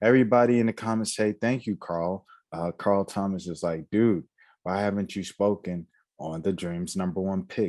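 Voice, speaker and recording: A man with an unremarkable speaking voice and a fairly low pitch uses ordinary pitch variation, recorded in a dry, close sound with no echo against a quiet background. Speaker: sports YouTuber. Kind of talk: casual vlog monologue. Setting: home recording late at night.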